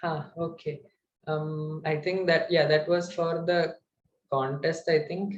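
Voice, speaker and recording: With light background noise, a man with a fairly high pitch speaks fairly slowly in a monotone, flat intonation. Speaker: student lecturer on data structures; instructor. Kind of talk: online lecture. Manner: hesitant, many fillers. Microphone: webcam.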